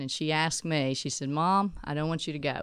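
A woman with a Texan accent, fairly quick pace and ordinary pitch variation. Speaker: ministry speaker. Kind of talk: casual interview.

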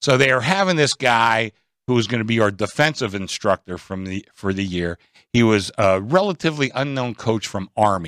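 A man with an American accent, medium pitch and moderate pace, a plain, everyday voice, dry, close sound with no echo. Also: lively intonation. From Pittsburgh area, US. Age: 60s. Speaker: sportsbook director. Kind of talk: casual chat. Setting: live from casino sportsbook studio.

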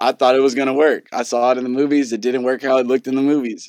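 A man with an American accent talks very fast at medium pitch, recorded with a dry, close sound and no echo. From Southern California (Carson, LA area). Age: 20s. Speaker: DJ and music producer. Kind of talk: casual interview conversation.

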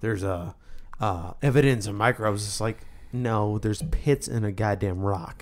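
A man with an ordinary speaking voice, fairly low in pitch, with ordinary pitch variation at a moderate pace. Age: 20s. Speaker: podcast co-host. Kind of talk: casual chat.

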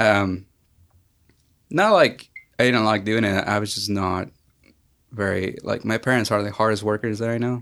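A man with a Mexican accent talks at a fairly low pitch, leaving long, frequent pauses. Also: moderate pace. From Mexico (Aguascalientes). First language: Spanish. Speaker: filmmaker. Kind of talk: casual interview chat.

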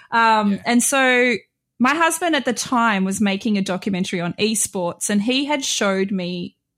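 A woman speaks in a normal speaking voice, fairly high in pitch and lively in intonation. The recording is very clean, with a silent background. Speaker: guest, streamer. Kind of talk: casual chat.

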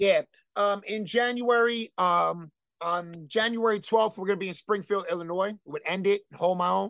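A high-pitched man with a New Jersey accent at a moderate pace. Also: dry, close sound with no echo. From New Jersey, Elizabeth. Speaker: hardcore band vocalist. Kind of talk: casual chat. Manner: animated.

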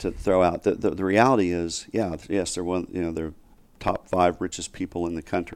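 On a very clean recording with a silent background, a man with a Southern US accent talks fairly quickly in a very deep, low pitch with fairly even intonation. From US South, Northwest Arkansas. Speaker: investor and criminal justice reform advocate. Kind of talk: interview. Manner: halting, many fillers.

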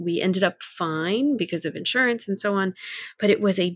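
A woman's plain, everyday voice, medium in pitch, at a moderate pace with ordinary pitch variation, in a dry, close sound with no echo. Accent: American. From US South, near New Orleans. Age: 50s. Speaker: lay minister. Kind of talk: casual chat.

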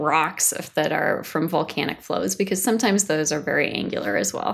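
A woman with a fairly low pitch and some vocal fry speaks with lively intonation on a very clean recording with a silent background. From US Pacific Northwest (Washington State). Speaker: planetary science researcher. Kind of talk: interview. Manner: hesitant, many fillers.

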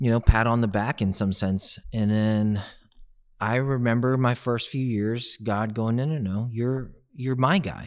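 A man with an American accent speaks slowly at medium pitch, with fairly even intonation. The recording is very clean, with a silent background. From Texas, Houston. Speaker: real estate agent, former sports chaplain. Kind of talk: podcast interview.

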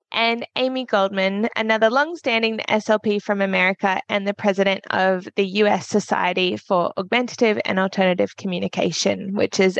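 A woman with an Australian accent talks at a moderate pace and medium pitch. Her intonation is fairly even, and the sound is dry and close with no echo. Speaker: podcast host and speech pathologist. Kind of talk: interview conversation.

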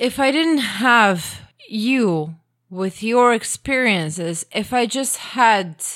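Lively intonation from a woman with a Croatian accent, on a very clean recording with a silent background. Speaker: podcast guest, host's wife. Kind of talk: casual chat. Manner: animated.

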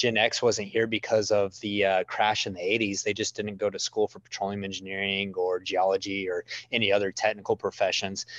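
The man's voice is fairly low in pitch, with monotone, flat intonation and hardly any pauses. The sound is dry and close, with no echo. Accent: West Texas. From West Texas. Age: 30s. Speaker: oil and gas media entrepreneur. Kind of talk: casual chat.

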